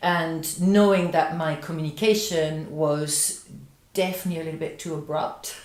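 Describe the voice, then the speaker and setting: A woman with a French accent speaks at a moderate pace, her pitch fairly low and her intonation fairly even, amid audible room echo and noticeable background noise. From France. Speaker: business coach, podcast co-host. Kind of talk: casual chat. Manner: halting.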